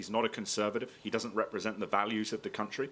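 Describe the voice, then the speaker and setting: A man's medium-pitched voice at a very fast pace, against noticeable background noise. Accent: British. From grew up abroad, American. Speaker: political writer. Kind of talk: public debate. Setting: stage with audience.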